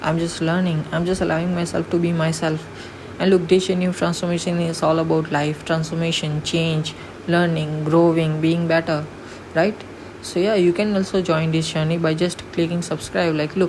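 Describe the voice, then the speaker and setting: A woman with a non-native accent, fairly low in pitch, flat and monotone at a moderate pace, with noticeable background noise and audible room echo. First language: not English. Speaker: vlogger. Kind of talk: motivational vlog monologue.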